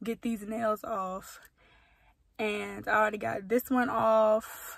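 A woman talks very slowly against a quiet background, the sound dry with no echo. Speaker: vlogger. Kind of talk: casual vlog chat. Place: car. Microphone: phone near.

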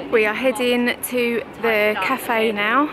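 Noticeable background noise surrounds a woman's high-pitched voice in a dry sound with no echo. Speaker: vlogger. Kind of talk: casual vlog chat. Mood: cheerful, laughing. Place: garden. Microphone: phone near.

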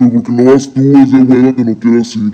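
In a put-on character voice, a man speaks at a fairly quick pace and medium pitch with monotone, flat intonation. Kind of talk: comedic skit dialogue. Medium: comedy sketch. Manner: whiny, argumentative. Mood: reluctant.

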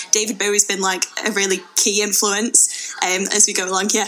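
The woman speaks with a Manchester accent at a moderate pace. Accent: Greater Manchester English. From Bury, Greater Manchester, England; England. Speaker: theatre producer and director. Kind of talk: radio interview. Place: studio.

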